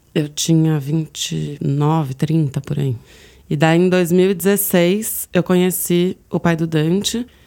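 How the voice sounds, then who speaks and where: A woman speaks at a very slow pace in a dark, mellow tone. Her pitch is fairly low, with ordinary pitch variation. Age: 30s. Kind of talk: personal testimony. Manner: casual, many fillers.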